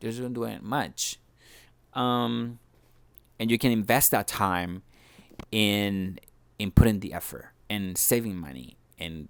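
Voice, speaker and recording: On a very clean recording with a silent background, a man speaks at a fairly low pitch with a Spanish accent and lively intonation. His pace is very slow, with long, frequent pauses. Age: 30s. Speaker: vlogger. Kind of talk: personal vlog monologue. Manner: halting, many repetitions and fillers.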